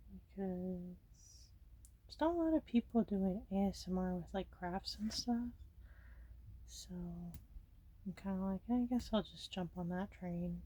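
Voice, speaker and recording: A woman speaks at a fairly slow pace with long, frequent pauses. Her loudness swings widely. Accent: American. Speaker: ASMR creator. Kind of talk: ASMR coloring chat. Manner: casual, rambling filler words.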